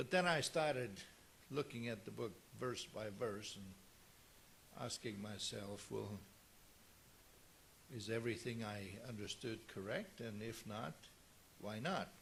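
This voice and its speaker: With audible room echo, a man talks at a fairly slow pace in a fairly low pitch with ordinary pitch variation. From South Africa. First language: Afrikaans. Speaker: pastor. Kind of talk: sermon.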